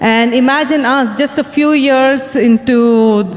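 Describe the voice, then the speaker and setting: A woman speaks with an Indian accent and fairly even intonation. Noticeable background noise runs behind her. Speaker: business speaker. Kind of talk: motivational speech.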